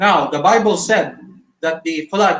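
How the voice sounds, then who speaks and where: Pitch variation from this man is ordinary. He keeps to a fairly slow pace. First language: not English. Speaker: creationist debater. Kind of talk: online debate. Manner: halting, many fillers.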